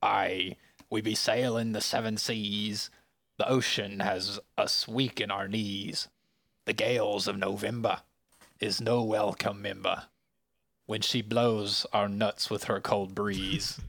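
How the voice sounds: A man's raspy, put-on character voice, fairly low in pitch and at a fairly slow pace.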